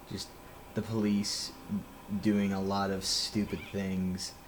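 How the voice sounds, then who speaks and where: A man speaks with a fairly low voice. Some room echo can be heard. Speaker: vlogger. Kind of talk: personal monologue. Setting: outdoors near a police department. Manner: halting, many fillers.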